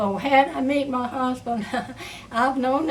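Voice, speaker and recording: Amid noticeable background noise, a woman with a high voice speaks at a moderate pace with ordinary pitch variation. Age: old. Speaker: great-grandmother. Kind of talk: family interview answer. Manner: hesitant, halting.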